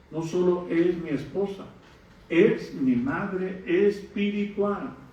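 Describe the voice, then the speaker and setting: High-pitched man at a very slow pace, with ordinary pitch variation and audible room echo. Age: 60s. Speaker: pastor. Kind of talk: sermon. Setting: church.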